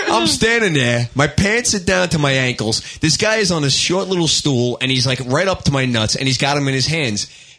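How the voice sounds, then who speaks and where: With a New York accent, a man talks at a moderate pace with hardly any pauses, very even loudness and very wide pitch swings over noticeable background noise. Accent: New York (Staten Island). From Staten Island, New York. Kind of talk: casual banter. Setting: studio.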